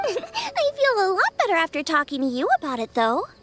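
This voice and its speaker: At a moderate pace, a squeaky put-on character voice in an extremely high pitch swings very widely in pitch with a cheerful tone. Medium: video game. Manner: cheerful, chatty.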